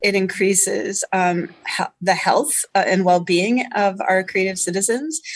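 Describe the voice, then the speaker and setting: In an unremarkable speaking voice, the speaker goes at a fairly slow pace with hardly any pauses, very even loudness and ordinary pitch variation. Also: woman, medium pitch for a woman. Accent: American. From Indiana (West Lafayette). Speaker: state arts agency deputy director. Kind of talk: radio interview.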